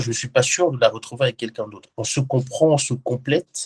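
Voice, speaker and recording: Somewhat breathy speech comes at a moderate pace with a dry, close sound and no echo. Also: man. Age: 20s. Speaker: professional bodybuilder and digital transformation consultant. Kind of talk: interview. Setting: video call.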